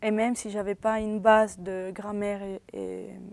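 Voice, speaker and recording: A woman with a Spanish accent, fairly slow in pace, her intonation monotone and flat. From Venezuela. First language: Spanish (speaking French). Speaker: university student. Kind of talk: interview. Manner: halting.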